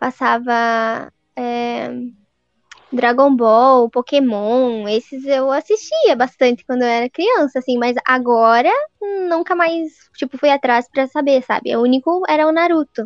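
A woman with a strong southern Paraná accent speaks at a high pitch with ordinary pitch variation, in a dry, close sound with no echo. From southern Paraná, Brazil. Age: 20s. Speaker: civil servant. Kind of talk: casual chat.

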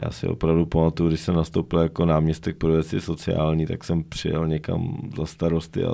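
Man's very deep, low voice with a dark, mellow tone and fairly even intonation. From western Bohemia, Domažlice (Chodsko). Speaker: regional governor, politician. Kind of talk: casual interview.

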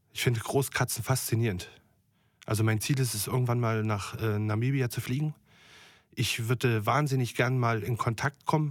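A man's medium-pitched voice at a moderate pace, with fairly even intonation, in a very clean recording with a silent background. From Germany, Thuringia. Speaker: chef. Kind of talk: interview. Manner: hesitant, many fillers.

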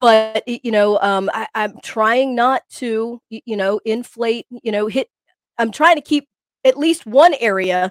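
Heard in a dry, close sound with no echo, a woman with a slight country accent speaks at a fairly high pitch with ordinary pitch variation. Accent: slight country twang. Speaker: co-host fitness podcaster. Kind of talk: casual chat, banter. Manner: animated, playful.

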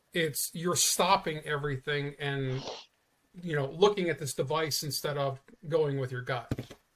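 With fairly even intonation and a moderate pace, this is an ordinary speaking voice. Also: man, fairly high pitch for a man. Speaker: guest. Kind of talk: casual chat.

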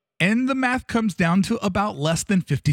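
Speaking at a fairly quick pace, a man uses very wide pitch swings. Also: very clean recording, silent background. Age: 40s. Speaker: podcaster. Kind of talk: personal monologue.

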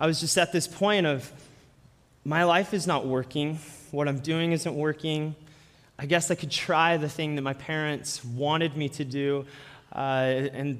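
Someone with a normal speaking voice and an American accent talks on a very clean recording with a silent background. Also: man. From Colorado, Denver. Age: 30s. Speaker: guest preacher. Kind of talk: sermon.

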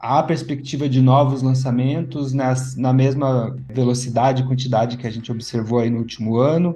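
With hardly any pauses, a man speaks in a monotone, flat and somewhat breathy voice, and audible room echo surrounds him. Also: medium pitch for a man, moderate pace. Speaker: podcast host, head of education. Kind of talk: interview and news commentary podcast.

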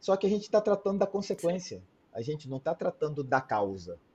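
Here is a man with a high pitch and a dark, mellow tone. His intonation is lively. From Brazil. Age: 40s. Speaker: cardiologist. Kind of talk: interview. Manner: animated.

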